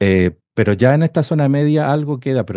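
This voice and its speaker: In a Chilean accent, a man with a dark, mellow tone speaks with lively intonation. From northern Chile. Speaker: industrial engineer and devotional author. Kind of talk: interview.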